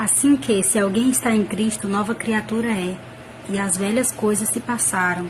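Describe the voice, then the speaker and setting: Over noticeable background noise, a woman with a Brazilian accent speaks fairly slowly at a medium pitch with ordinary variation. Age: 20s. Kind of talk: personal religious testimony to camera. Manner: casual, conversational.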